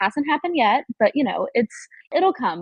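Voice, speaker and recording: A woman speaks with an American accent and lively intonation. Her voice is somewhat breathy. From United States, childhood partly in Germany and Italy. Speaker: think tank program staff. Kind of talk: casual chat. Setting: podcast recording. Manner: animated.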